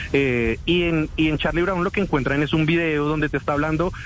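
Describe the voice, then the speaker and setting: Speaking fairly quickly in a Bogotá accent, a man uses a fairly high pitch. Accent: Bogotá Colombian. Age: 20s. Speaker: tech content creator. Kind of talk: interview.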